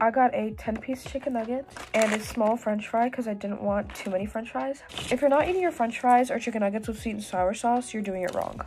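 A woman speaks at a fairly quick pace with ordinary pitch variation. Noticeable background noise runs under her voice. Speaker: vlogger. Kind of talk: casual vlog chat. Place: home room. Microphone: phone near.

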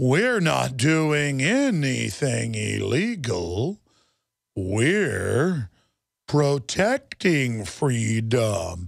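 A man's put-on character voice at a medium pitch, very slow, on a very clean recording with a silent background. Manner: robotic, monotone, stilted.

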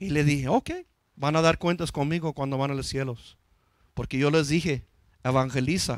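A man at a moderate pace with fairly even intonation, dry sound with no echo and a quiet background. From US, East Los Angeles; Los Angeles. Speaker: pastor; preacher. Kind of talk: sermon. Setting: church. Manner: halting, frequent repetitions. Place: church. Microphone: handheld.

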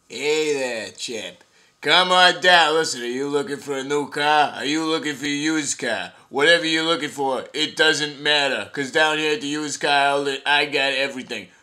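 In a cartoonish character voice, a man with a fairly high pitch talks at a moderate pace with hardly any pauses, captured on a very clean recording with a silent background. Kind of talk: comic overacting, hard-sell TV ad pitch. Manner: pushy, boastful, rapid, excited.

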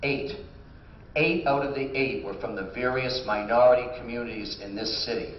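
Over noticeable background noise, the voice moves at a moderate pace with ordinary pitch variation. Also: man, medium pitch for a man. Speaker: mayor running for re-election. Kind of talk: candidate forum answers. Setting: stage with audience.

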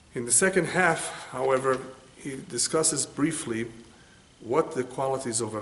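Light background noise sits under the speech. The pace is moderate, with ordinary pitch variation. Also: man. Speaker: religious teacher. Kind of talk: lecture. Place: home room.

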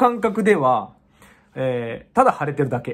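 A somewhat breathy man speaks at a moderate pace with very wide pitch swings over a quiet background. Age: 40s. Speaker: kickboxer. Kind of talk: casual vlog monologue. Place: home room.

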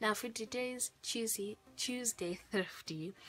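Faint music plays behind a woman whose voice has ordinary pitch variation. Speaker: youtuber. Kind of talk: casual vlog chat. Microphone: phone near.

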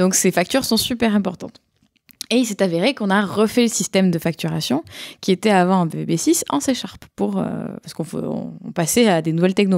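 A woman with a slight southern French accent, on a very clean recording with a silent background. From southern France, Montpellier. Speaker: tech product person and conference speaker. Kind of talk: casual chat. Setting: around a table with other panelists.

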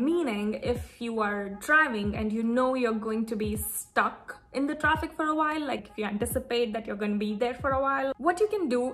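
A woman with a high pitch speaks at a moderate pace with lively intonation and hardly any pauses. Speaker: lifestyle vlogger. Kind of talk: casual vlog chat. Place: home room. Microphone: phone near.

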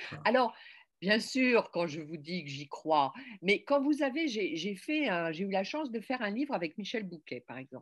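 With a quiet background, a woman talks at a fairly slow pace. Her voice shows very wide pitch swings and big swings in loudness. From France, Paris (Berry family); France. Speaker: novelist and magazine editor; interviewee. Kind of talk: interview. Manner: hesitant, many fillers. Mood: reflective, animated. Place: home room. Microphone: webcam.

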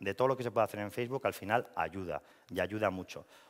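Over a quiet background, a man speaks at a very fast pace, fairly low in pitch, with ordinary pitch variation. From La Rioja, Spain (Logroño); La Rioja, Spain. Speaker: marketing and communications professional; speaker. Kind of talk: presentation talk. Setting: stage with audience. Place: hall. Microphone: headset.

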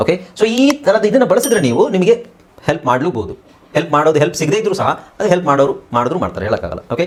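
Amid noticeable background noise, a man talks with a high pitch and very wide pitch swings. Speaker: English language teacher. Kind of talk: tutorial.

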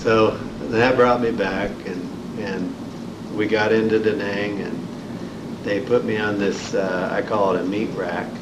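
With an American accent, a man talks at a fairly slow pace with long, frequent pauses against noticeable background noise. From Indiana, US Midwest. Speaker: Vietnam War veteran. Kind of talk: oral history interview, recalling war experiences and wounds. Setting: library interview room, filmed. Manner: halting, plain-spoken, matter-of-fact; reflective, understated about traumatic events. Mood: reflective, somber. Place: meeting room.

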